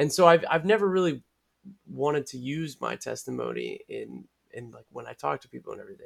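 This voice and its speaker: The loudness swings a lot. The pace is very fast. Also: man. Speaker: podcast co-host. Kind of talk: casual chat.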